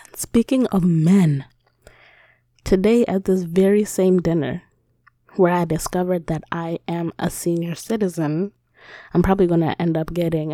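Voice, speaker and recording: Speaking with long, frequent pauses, a woman with a fairly low pitch sounds dry and close, with no echo. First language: not English. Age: 20s. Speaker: podcast host. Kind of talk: casual monologue. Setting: home recording. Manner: animated.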